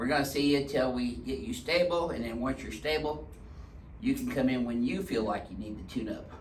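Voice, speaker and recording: Lively intonation marks a man talking at a fairly quick pace and medium pitch, with audible room echo around him. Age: 60s. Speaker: chiropractor. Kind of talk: casual chat with patient for video.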